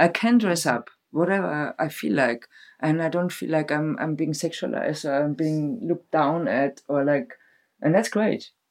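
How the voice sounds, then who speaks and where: With a German accent, a woman speaks in a very deep, low voice at a moderate pace, with lively intonation and a quiet background. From Germany. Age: 40s. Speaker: festival decor maker and stage builder. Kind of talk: casual chat. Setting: sitting together on a bed at night.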